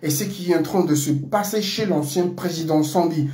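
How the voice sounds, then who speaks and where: A man's dark, mellow tone with audible room echo. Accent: Comorian. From Comoros. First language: Comorian (speaking French). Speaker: political commentator. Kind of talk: political monologue. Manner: halting, many fillers.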